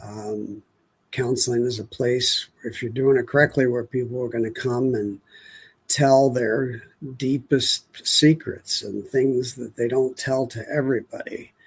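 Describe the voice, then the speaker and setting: A somewhat breathy man at a fairly slow pace with monotone, flat intonation on a very clean recording with a silent background. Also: medium pitch for a man. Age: 70s. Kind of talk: spoken devotional reflection. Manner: unhurried, hesitant with fillers.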